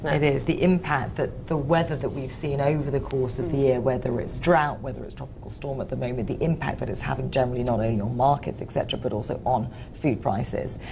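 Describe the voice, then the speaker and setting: A woman's very deep, low voice at a very fast pace with hardly any pauses and ordinary pitch variation, over noticeable background noise. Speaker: news presenter. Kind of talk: studio discussion.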